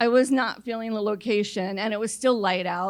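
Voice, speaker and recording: In a very clean recording with a silent background, a woman with an American accent speaks in an unremarkable speaking voice, fairly high in pitch and with ordinary pitch variation. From New York City. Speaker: storyteller. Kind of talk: live storytelling on stage. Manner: conversational, comedic.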